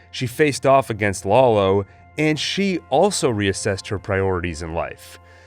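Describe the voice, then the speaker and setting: A man at a fairly slow pace with lively intonation, backed by music in the background. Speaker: TV review YouTuber. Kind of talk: spoken review to camera.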